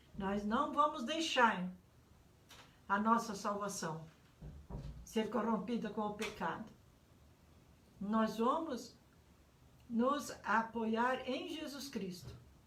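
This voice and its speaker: Amid audible room echo and noticeable background noise, a woman speaks at a very slow pace and a fairly high pitch with ordinary pitch variation and long, frequent pauses. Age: 70s. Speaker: pastor. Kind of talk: sermon. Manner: halting.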